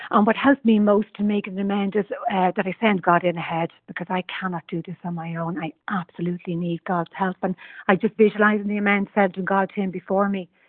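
A woman with an Irish accent, fairly quick in pace and fairly even in intonation. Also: medium pitch for a woman. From Ireland. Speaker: twelve-step meeting member. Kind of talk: personal share in support group. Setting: phone call.

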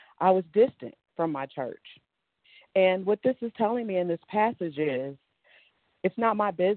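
With an American accent, the speaker moves at a moderate pace with lively intonation and long, frequent pauses. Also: woman, medium pitch for a woman. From New York. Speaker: support group member. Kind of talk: personal testimony. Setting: video call. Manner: emotional.

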